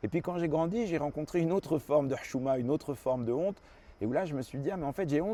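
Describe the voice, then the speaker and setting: Delivered at a very fast pace, the voice has lively intonation and a dark, mellow tone. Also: man. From France (arrived from Lebanon at four). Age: 40s. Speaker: journalist and author. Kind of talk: interview monologue. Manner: casual with frequent fillers.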